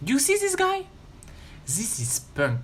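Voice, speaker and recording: The speaker talks with a French accent. Music plays in the background. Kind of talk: gaming video commentary.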